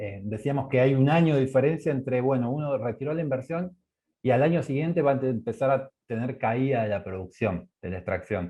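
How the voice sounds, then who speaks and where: Somewhat breathy and medium in pitch, a man speaks at a moderate pace. His intonation is lively. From Argentina. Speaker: energy economics researcher. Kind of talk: online course presentation. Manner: halting, with many fillers.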